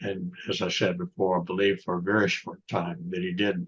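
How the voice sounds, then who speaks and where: A man's very deep, low voice in a Southern US accent, with monotone, flat intonation. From US South, North Florida. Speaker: author and lawyer. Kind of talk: interview conversation. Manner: halting.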